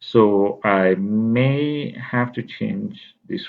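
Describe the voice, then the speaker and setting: A man speaks with a non-native accent and ordinary pitch variation. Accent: foreign. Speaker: university instructor. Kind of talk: course overview lecture. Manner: halting, many fillers.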